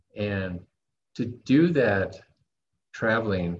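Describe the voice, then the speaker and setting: A man speaks with a fairly low pitch and an American accent. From United States. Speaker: online entrepreneur. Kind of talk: interview.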